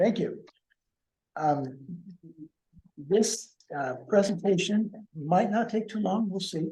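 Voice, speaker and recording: A man speaks in a dark, mellow tone with ordinary pitch variation. Audible room echo surrounds his voice. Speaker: financial consultant. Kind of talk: business presentation. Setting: public meeting in city hall, also on Zoom. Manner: halting.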